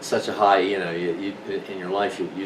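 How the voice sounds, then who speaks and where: A man's fairly low voice at a moderate pace, amid audible room echo and noticeable background noise. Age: 60s. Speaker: senior marathon runner. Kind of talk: casual talk to camera. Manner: halting, many fillers.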